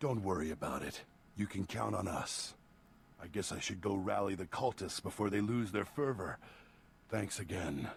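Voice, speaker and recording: Putting on a character voice, a man speaks in a fairly low pitch at a moderate pace with long, frequent pauses, over clear background noise. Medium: video game.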